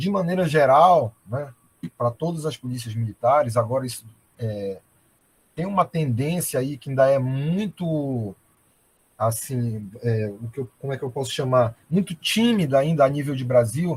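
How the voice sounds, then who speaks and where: A man's somewhat breathy voice at a medium pitch, with lively intonation and a fairly slow pace. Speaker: military police colonel and researcher. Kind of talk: academic presentation. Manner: hesitant fillers.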